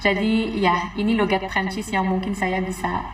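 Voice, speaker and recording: Noticeable background noise accompanies a woman speaking at a medium pitch. Her intonation is monotone and flat, and her pace is moderate. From France. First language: French (speaking Indonesian). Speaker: foreign resident in Indonesia. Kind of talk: casual social video talk.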